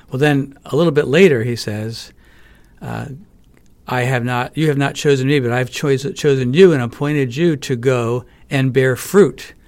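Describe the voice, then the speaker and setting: In a very clean recording with a silent background, a man speaks in a normal speaking voice at a medium pitch, with ordinary pitch variation and a moderate pace. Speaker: professor and author. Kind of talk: interview. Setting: studio.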